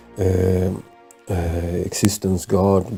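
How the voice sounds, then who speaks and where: Music plays in the background as a man speaks with a non-native accent. His voice is very deep and low, with monotone, flat intonation. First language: not English. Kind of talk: casual spiritual talk to camera. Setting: close to the mic. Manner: hesitant, many fillers.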